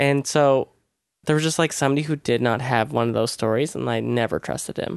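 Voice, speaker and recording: Fairly quick speech with ordinary pitch variation, a quiet background and a dry, close sound with no echo. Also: man, medium pitch for a man. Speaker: writer. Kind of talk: casual chat. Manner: low-energy, calm.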